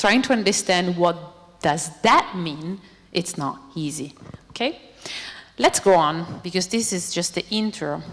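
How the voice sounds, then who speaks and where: Someone with an Italian accent talks at a fairly slow pace, with long, frequent pauses and ordinary pitch variation. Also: woman, fairly low pitch for a woman. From Italy. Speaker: robotics researcher. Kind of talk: lecture. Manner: animated.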